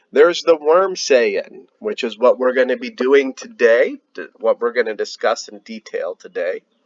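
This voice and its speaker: Fairly slow speech from a man with an American accent. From United States. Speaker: heathen religion educator. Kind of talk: educational talk. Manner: casual, with fillers.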